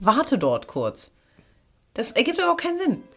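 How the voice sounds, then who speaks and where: The speaker goes at a fairly quick pace with very wide pitch swings while music plays in the background. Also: woman. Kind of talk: playful comic interruptions.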